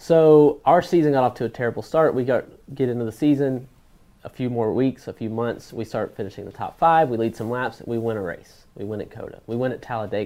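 Speaking at a fairly quick pace, a man with an American accent has a medium pitch, ordinary pitch variation and a normal speaking voice. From Florida. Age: 30s. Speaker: racing driver. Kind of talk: interview.

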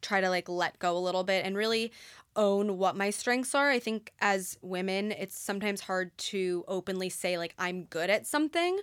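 A woman speaks in a normal speaking voice. She talks with hardly any pauses. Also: very clean recording, silent background. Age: 20s. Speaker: company founder. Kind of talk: interview.

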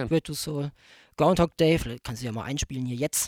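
A man with an ordinary speaking voice, fairly high pitch and ordinary pitch variation, in a dry, close sound with no echo and a very clean recording with a silent background. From Germany. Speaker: bassist in a soul band. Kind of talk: casual chat. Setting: studio.

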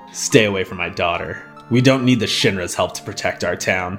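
Over clear background music, a man talks at a fairly quick pace in a put-on character voice with fairly low pitch. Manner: gruff, angry, protective.

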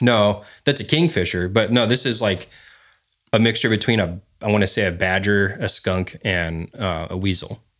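A man's fairly low, normal speaking voice at a moderate pace, with ordinary pitch variation, in a very clean recording with a silent background. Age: 30s. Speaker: outdoorsman and dog trainer. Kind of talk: casual chat.

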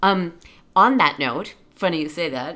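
On a very clean recording with a silent background, a woman speaks in a bright, sharp tone with ordinary pitch variation. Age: 20s. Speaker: podcast co-host. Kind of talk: casual chat. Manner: laughs often.

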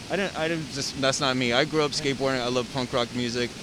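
A man with an American accent speaks very fast with ordinary pitch variation. Noticeable background noise is in the recording. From US West Coast, San Diego. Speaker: photographer. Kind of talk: casual interview.

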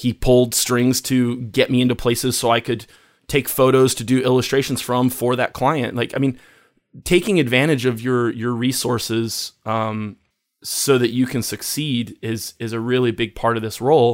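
An ordinary speaking voice from a man at a medium pitch and a moderate pace, with fairly even intonation, on a very clean recording with a silent background. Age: 40s. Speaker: photographer, designer and musician. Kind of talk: interview.

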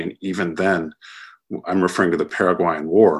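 A man's very deep, low voice with an American accent against a quiet background. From United States. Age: 40s. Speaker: author and biographer. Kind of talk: interview. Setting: remote call.

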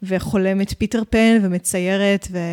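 An unremarkable speaking voice with fairly even intonation comes through in a dry, close, very clean recording with no echo and a silent background. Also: woman. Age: 30s. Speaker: mermaid performer and business owner. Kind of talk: interview.

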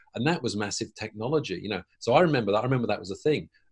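A somewhat breathy man at medium pitch, with ordinary pitch variation. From London, England. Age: 50s. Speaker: mentor and consultant. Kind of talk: interview conversation. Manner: halting, many repeated words.

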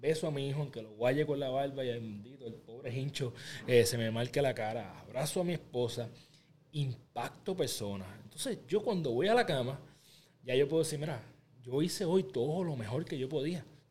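Somewhat breathy speech from a man, full of lively intonation. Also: medium pitch for a man, moderate pace. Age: 30s. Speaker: podcaster and motivational creator. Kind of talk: interview.

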